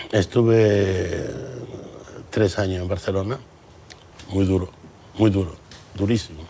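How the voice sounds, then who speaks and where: A man speaks at a fairly low pitch with fairly even intonation. He leaves long, frequent pauses amid noticeable background noise. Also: fairly slow pace. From Andalusia, Campo de Gibraltar, Cádiz. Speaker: businessman. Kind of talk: TV interview. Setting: TV studio.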